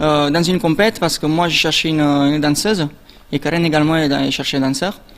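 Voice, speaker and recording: Very fast and fairly high in pitch, a man speaks with fairly even intonation. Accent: Italian. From Italy, Naples. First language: Italian (speaking French). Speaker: competitive dancer. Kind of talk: interview.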